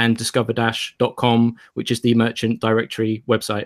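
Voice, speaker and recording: At a moderate pace, a man speaks in a medium pitch, recorded very cleanly against a silent background with a dry, close sound and no echo. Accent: British. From United Kingdom. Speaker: crypto PR director. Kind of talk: casual chat.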